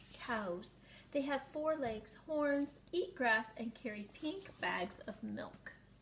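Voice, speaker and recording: A woman uses a put-on character voice at a high pitch. She speaks at a very slow pace over clear background noise. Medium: read story. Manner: proud, animated.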